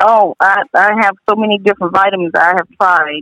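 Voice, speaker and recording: A woman at medium pitch and moderate pace, an unremarkable speaking voice. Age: 50s. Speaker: healthcare business owner. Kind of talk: casual chat.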